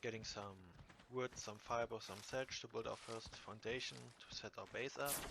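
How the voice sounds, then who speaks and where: A man of medium pitch speaks with a non-native accent and a bright, sharp tone. His pace is moderate and his intonation fairly even. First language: not English. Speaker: gamer. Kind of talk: gameplay commentary voiceover. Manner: casual, hesitant.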